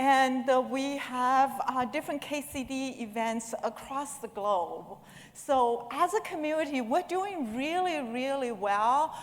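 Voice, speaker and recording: A woman speaks in a high voice at a fairly slow pace. Her intonation is lively, and she hardly pauses at all. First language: not English. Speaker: conference speaker. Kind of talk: conference talk. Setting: stage with audience.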